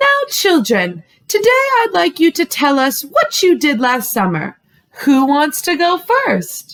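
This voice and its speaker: A woman uses a put-on character voice with a high pitch. She speaks at a fairly slow pace with very even loudness. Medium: read story. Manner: gentle, sweet.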